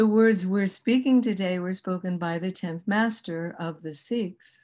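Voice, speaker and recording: At a fairly slow pace, a woman speaks in a dark, mellow tone at medium pitch with ordinary pitch variation, against a quiet background. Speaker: kundalini yoga and chanting teacher. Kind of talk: online workshop teaching. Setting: video call.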